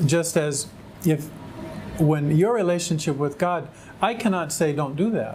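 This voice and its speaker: In an American accent, a man with a fairly high pitch speaks at a fairly slow pace with ordinary pitch variation and long, frequent pauses, while audible room echo surrounds his voice. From California, US. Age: 60s. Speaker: convert to Islam. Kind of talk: testimony. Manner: halting.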